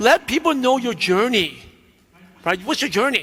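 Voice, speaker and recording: Lively intonation from a man at a moderate pace. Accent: American. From New York (Brooklyn). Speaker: business coach. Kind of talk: keynote speech.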